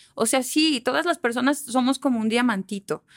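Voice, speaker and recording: In a dry, close sound with no echo, a woman with a high pitch talks at a moderate pace with ordinary pitch variation. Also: very clean recording, silent background. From Aguascalientes, Mexico. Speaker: communication consultant. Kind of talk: casual chat.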